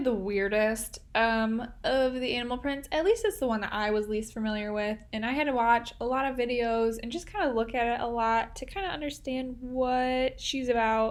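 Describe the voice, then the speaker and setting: Speaking at a moderate pace with hardly any pauses, a woman talks at a high pitch in a Midwestern accent. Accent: Midwestern, nasal. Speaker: art tutorial creator. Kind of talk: tutorial. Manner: casual, chatty.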